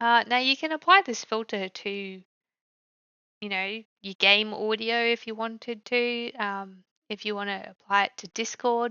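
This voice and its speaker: Fairly high-pitched female speech delivered fairly slowly, the pitch shifting in an ordinary way. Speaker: tech tutorial youtuber. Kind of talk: tutorial. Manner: casual, filler-heavy.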